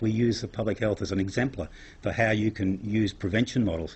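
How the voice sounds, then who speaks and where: The voice is a man's, somewhat breathy. He speaks at a fairly quick clip. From Australia. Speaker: psychologist and crime science academic. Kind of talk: lecture.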